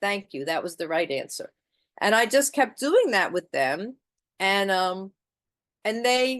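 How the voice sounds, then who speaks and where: A woman speaks at a medium pitch with very wide pitch swings and long, frequent pauses over a quiet background. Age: 60s. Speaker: twelve-step meeting speaker. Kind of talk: testimony. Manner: conversational.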